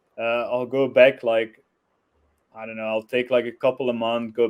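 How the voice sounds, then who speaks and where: This man has a non-native accent, a medium pitch and a moderate pace. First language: not English. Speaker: blogger, web developer. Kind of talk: interview. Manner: hesitant, many fillers.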